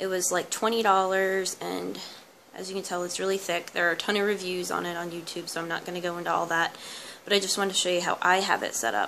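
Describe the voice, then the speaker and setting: A woman speaks at a very fast pace with a medium pitch and a bright, sharp tone. Her intonation stays fairly even. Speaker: homeschooling mom and vlogger. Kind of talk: casual tutorial. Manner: soft-spoken.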